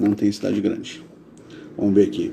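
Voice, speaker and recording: A man speaks with a dark, mellow tone. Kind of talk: live-stream talk with chat Q&A. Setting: live stream. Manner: casual, chatty.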